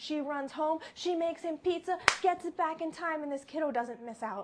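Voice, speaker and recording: With an animated tone and an extremely high pitch, a woman speaks over noticeable background noise. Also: ordinary pitch variation, moderate pace. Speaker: grain-free lifestyle coach. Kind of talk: online cooking show talk.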